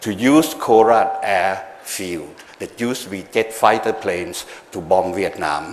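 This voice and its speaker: Background noise is noticeable as a man talks in a fairly low register. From Thailand. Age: 60s. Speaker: government policy advisor. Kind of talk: after-dinner talk. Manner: halting.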